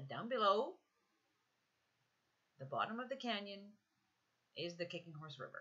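The woman's voice is quiet and fairly high in pitch. Her tone is bright and sharp. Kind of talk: road trip video voiceover.

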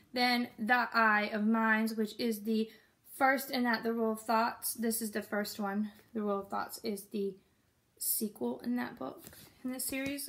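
With fairly even intonation, a woman speaks at a fairly slow pace. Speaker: book vlogger. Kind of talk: casual vlog chat. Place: home room. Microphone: phone near.

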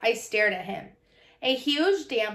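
The speaker is doing plain reading aloud. Lively intonation runs through it.

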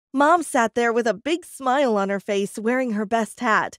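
An unremarkable speaking voice from a woman, fairly high in pitch, with ordinary pitch variation and a fairly quick pace, in a very clean recording with a silent background and a dry, close sound with no echo. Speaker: storyteller. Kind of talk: dramatic first-person storytelling narration.

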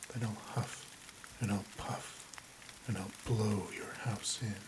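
The voice has a soothing tone and moves at a very slow pace. Noticeable background noise is present. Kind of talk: bedtime story reading aloud, ASMR. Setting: quiet recording with rain and thunder sounds in background. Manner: soft-spoken, slow and soothing.

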